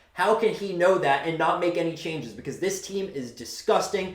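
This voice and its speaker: An animated man at a fairly quick pace, with audible room echo. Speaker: sports fan commentator. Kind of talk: sports rant. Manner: fast.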